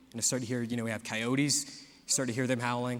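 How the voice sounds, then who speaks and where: A man with an American accent speaks at a fairly quick pace in a medium pitch, his bright, sharp tone set in monotone, flat intonation, with audible room echo. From US South (South Georgia). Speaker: preacher. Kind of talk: sermon. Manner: casual storytelling with frequent fillers and repeats.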